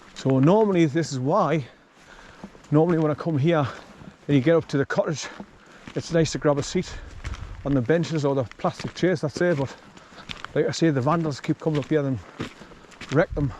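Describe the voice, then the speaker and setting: Against noticeable background noise, a man with a northern English accent speaks at a fairly quick pace with long, frequent pauses, his fairly high pitch showing ordinary variation. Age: 60s. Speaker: hiking vlogger. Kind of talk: casual walking vlog narration. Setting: outdoors.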